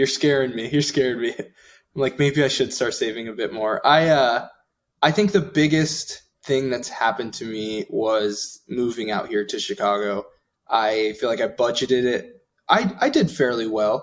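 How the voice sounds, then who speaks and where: A man with a normal speaking voice, medium pitch and lively intonation, at a moderate pace. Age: 20s. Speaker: podcast co-host. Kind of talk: casual chat.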